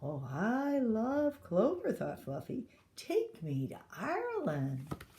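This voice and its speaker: Using a put-on character voice, a woman talks at a very slow pace with a fairly high pitch. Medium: read story.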